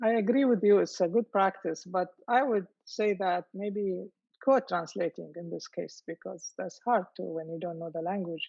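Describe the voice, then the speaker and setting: A woman with an Arabic accent speaks at a moderate pace, her pitch medium and its variation ordinary. Her loudness rises and falls sharply. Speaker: poet. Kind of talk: panel discussion. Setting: video call. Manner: halting.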